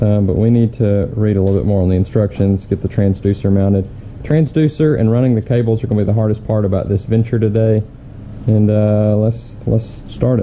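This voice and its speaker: A man with a normal speaking voice keeps a fairly low pitch, ordinary pitch variation and very even loudness, with light background noise. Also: fairly quick pace. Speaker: fishing channel host. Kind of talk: casual vlog chat. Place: garage. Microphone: phone near.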